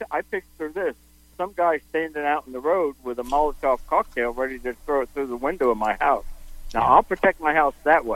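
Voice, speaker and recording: A man talks at a fairly quick pace in a fairly high pitch with ordinary pitch variation, a plain, everyday voice. The sound is dry and close, with no echo. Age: 60s. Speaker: caller. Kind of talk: phone-in question.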